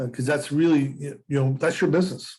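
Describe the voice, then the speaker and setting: A man's fairly high voice at a very fast pace, with fairly even intonation. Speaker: real estate instructor. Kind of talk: lecture. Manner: halting.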